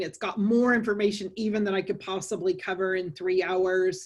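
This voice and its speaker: The background is quiet as a woman speaks. Her medium-pitched voice has a monotone, flat intonation. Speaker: lawyer. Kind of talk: webinar lecture. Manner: fast.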